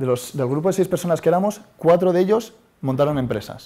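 With a dark, mellow tone, a man delivers his words at a fairly quick pace. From Spain. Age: 30s. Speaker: startup founder. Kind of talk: talk to audience. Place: classroom.

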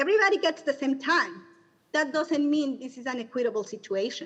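A woman's high voice with a Spanish accent and lively intonation. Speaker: community member, parent advocate. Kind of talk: public comment.

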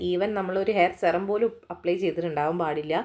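Here a woman speaks in a normal speaking voice at a medium pitch. Her pitch varies in an ordinary way. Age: 30s. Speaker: beauty vlogger. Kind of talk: tutorial. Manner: casual.

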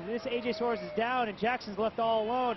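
The speaker's tone is upbeat and the pace moderate. Noticeable background noise runs underneath. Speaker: color commentator. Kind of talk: sports analysis commentary. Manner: explanatory, conversational, upbeat breakdown of replays.

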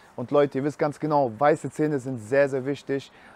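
Fairly even intonation in a slightly mellow tone. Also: man, medium pitch for a man, moderate pace.

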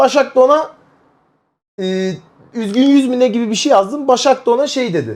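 Loud and animated, a man speaks at a moderate pace in an extremely high pitch with ordinary pitch variation. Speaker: streamer. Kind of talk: casual chat.

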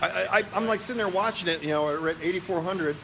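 A man's high voice at a very fast pace, with ordinary pitch variation over noticeable background noise. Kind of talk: casual vlog chat. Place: workshop. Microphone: phone near.

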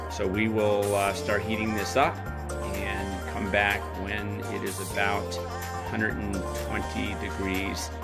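A man speaks with ordinary pitch variation. Loud music plays behind him. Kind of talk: demonstration commentary. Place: kitchen. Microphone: phone near.

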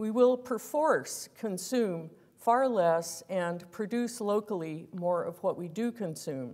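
The voice has a dark, mellow tone. It moves at a fairly slow pace against a quiet background. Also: woman. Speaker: guest lecturer. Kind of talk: lecture read from a prepared text. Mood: earnest, measured. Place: hall. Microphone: lapel.

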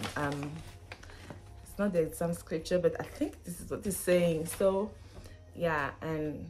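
Over clear background music, a woman speaks at a very slow pace and a fairly low pitch with fairly even intonation. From Benin. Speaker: student, vlogger. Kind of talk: casual talk to camera. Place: home room. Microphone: phone near.

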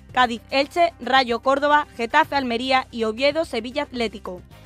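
Over music in the background, a woman with a high-pitched voice speaks at a moderate pace with fairly even intonation. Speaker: broadcasting student. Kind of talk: radio news headlines.

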